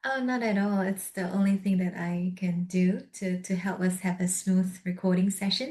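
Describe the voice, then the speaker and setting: Soft-spoken and somewhat breathy, a woman talks with a medium pitch and a dark, mellow tone. Her intonation stays fairly even, with hardly any pauses. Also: moderate pace. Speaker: podcast host. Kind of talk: interview conversation. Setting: video call.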